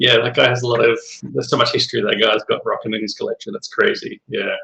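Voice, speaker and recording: A man talks at a moderate pace. The sound is dry and close, without any echo. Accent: Australian. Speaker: fellow begleri slinger. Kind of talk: casual chat.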